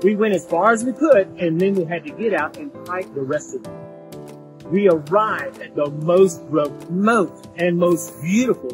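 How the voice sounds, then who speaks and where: Clear music plays in the background. Over it, a man speaks at a moderate pace. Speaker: channel host, interviewer. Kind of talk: travel vlog narration. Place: forest. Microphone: lapel.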